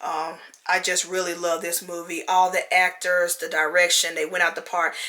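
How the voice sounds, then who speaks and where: At a moderate pace, a woman speaks with a fairly low pitch and a monotone, flat intonation amid noticeable background noise. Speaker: movie reviewer. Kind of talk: casual video review.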